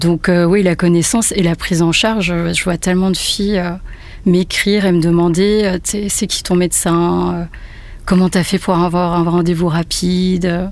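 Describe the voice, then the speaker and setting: Against noticeable background noise, a woman speaks slowly in a fairly low, flat monotone at a very even loudness. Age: 30s. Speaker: photographer. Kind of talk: testimony. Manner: halting.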